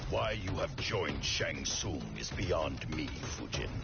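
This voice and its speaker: A man does a cartoonish character voice at a fairly slow pace while loud music plays in the background. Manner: guarded, stern.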